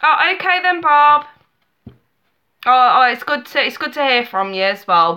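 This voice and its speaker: Her tone bright and sharp, a woman with an English accent speaks at a moderate pace across very wide pitch swings. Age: 30s. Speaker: tarot reader. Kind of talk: live stream chat. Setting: live webcam stream. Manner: animated.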